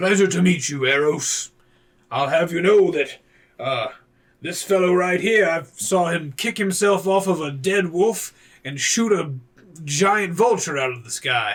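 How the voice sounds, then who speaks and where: Using a put-on character voice, a man talks at a moderate pace with high pitch. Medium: actual play. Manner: gruff, hearty.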